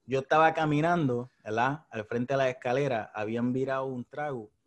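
Speaking at a fairly quick pace, a man with a Puerto Rican accent holds a medium pitch. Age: 30s. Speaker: podcast host. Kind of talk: casual chat.

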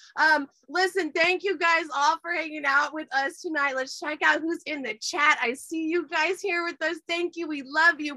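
Using a raised, projected voice, a woman talks at a moderate pace with an extremely high pitch. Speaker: podcast host. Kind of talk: casual chat. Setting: video call. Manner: excitable.

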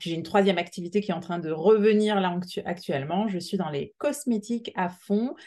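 A woman's fairly low, dark and mellow voice with ordinary pitch variation against a quiet background. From Alsace, France. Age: 40s. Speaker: entrepreneur, permanent makeup artist. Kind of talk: interview. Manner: halting.

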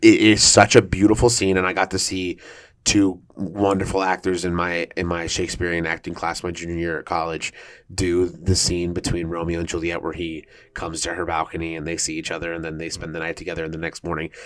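A man with a very deep, low voice in a monotone, flat delivery at a fairly quick pace, on a very clean recording with a silent background. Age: 20s. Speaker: stage actor. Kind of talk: casual chat.

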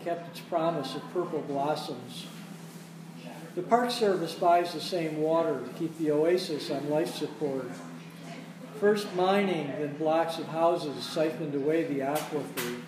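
A man with a high pitch and ordinary pitch variation speaks at a fairly slow pace. Audible room echo and noticeable background noise fill the recording. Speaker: poet reading at open mic. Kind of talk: reading aloud. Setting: cafe with audience.

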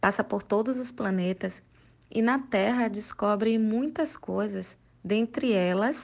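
A woman speaks at a very slow pace in a medium pitch, with ordinary pitch variation and a quiet background. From Bahia, Brazil (Salvador). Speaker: book recommender. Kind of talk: recorded book recommendation.

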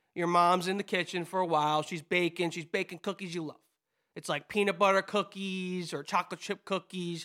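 With an American accent, a man speaks at a fairly quick pace in a high, flat monotone, his tone bright and sharp on a very clean recording with a silent background. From New Jersey. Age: 20s. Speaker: podcast co-host. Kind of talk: casual chat.

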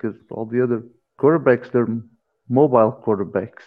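This is a man talking. His pitch is medium. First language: Portuguese. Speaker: podcast co-host. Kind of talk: casual interview.

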